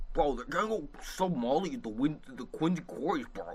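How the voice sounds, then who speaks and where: Doing a put-on character voice, a man speaks at a moderate pace with a fairly high pitch and very wide pitch swings. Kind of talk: casual slang. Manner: exaggerated, mocking.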